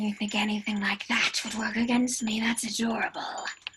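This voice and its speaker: In a put-on character voice that sounds female, the speaker uses a fairly high pitch and monotone, flat intonation at a moderate pace, with clear background noise. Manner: hissing.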